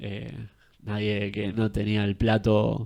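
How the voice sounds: This man's fairly low voice is nasal and slightly mellow, delivered in a flat monotone with vocal fry.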